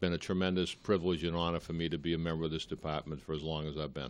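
A man with a Boston accent speaks in a very deep, low voice with fairly even intonation against a quiet background. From Boston area, Massachusetts (Malden). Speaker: police chief. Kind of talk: interview on local cable TV. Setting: TV studio.

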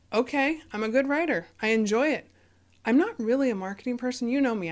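A woman talks at a fairly quick pace in an ordinary speaking voice. Her pitch variation is ordinary. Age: 40s. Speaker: podcaster and author. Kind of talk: casual chat.

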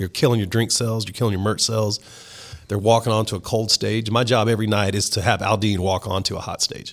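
A man with a Southern US accent talks at a fairly quick pace. His pitch is fairly low and his intonation monotone and flat. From South Texas. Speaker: country music DJ. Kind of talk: casual chat.

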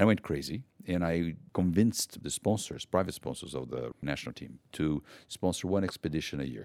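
A man with a Portuguese accent speaks with vocal fry. The sound is dry and close, with no echo. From Brazil. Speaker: conservation NGO founder. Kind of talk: personal storytelling.

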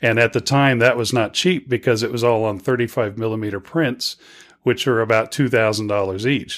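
In an American accent, a man with an unremarkable speaking voice talks at a fairly quick pace, medium in pitch with fairly even intonation, on a very clean recording with a silent background. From Virginia and South Padre Island, Texas. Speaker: filmmaker. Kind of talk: interview.

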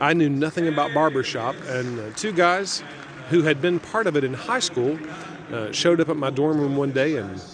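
A man with an American accent talks at a fairly high pitch over noticeable background noise. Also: ordinary pitch variation, moderate pace. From small town near where West Virginia, Ohio and Kentucky meet. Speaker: event announcer and barbershop singer. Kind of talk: conversational interview.

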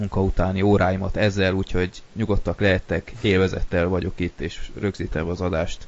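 A man with a very deep, low pitch holds his intonation fairly even. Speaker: podcast host. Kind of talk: casual chat. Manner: monotone, bored-sounding; hesitant with filler sounds.

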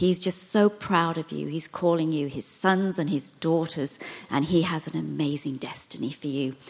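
With noticeable background noise behind her, a woman speaks at a moderate pace in a very deep, low voice with ordinary pitch variation. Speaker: visiting minister. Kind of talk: sermon.

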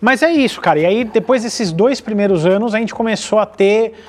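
The man's voice sits high. Its pitch moves in an ordinary way. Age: 30s. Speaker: automotive YouTuber. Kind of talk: casual chat.

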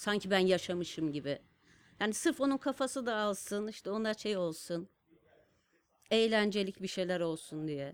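A woman speaks in a normal speaking voice at medium pitch and a moderate pace, with lively intonation on a very clean recording against a silent background. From Turkey, Kars. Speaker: designer and stamp artist. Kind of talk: casual interview storytelling. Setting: studio.

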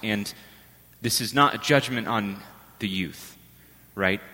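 Soft-spoken, a man talks fairly slowly with a bright, sharp tone. His pitch varies in an ordinary way. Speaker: priest. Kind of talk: homily. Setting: church.

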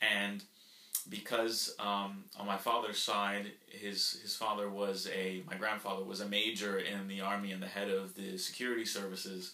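Over noticeable background noise, a man speaks at a moderate pace in a fairly low pitch with monotone, flat intonation. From Florida, US (Nicaraguan family, born in Colombia). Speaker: YouTuber and podcast co-host. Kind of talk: casual conversational podcast. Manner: talkative.

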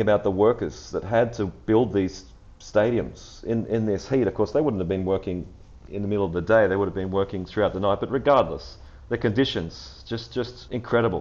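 A man talks at a fairly quick pace with an Australian accent. His fairly low voice has lively intonation and vocal fry. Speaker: football podcast host. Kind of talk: casual chat.

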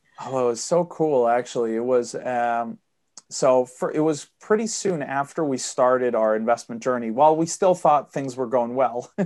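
At a moderate pace, a man talks with a medium pitch and ordinary pitch variation. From Sweden. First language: Swedish. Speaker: property investor. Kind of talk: podcast interview. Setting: remote interview.

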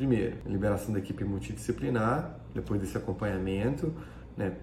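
At a moderate pace, a man speaks with audible room echo and noticeable background noise. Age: 40s. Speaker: plastic surgeon. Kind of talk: educational talk. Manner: halting.

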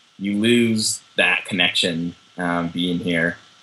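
Against noticeable background noise, a man with an American accent talks at a very slow pace in a very deep, low pitch with fairly even intonation. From Southern California (Orange County). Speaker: journalist. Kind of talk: interview. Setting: video call.

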